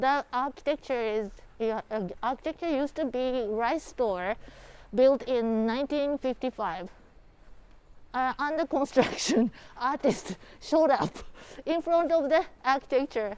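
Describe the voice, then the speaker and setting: Her voice high and her intonation lively, a woman speaks at a fairly slow pace with long, frequent pauses. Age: 60s. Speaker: local tour guide. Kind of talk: live walking tour. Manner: halting.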